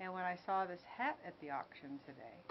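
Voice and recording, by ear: At a fairly quick pace, a woman talks with a fairly low pitch and big pitch swings.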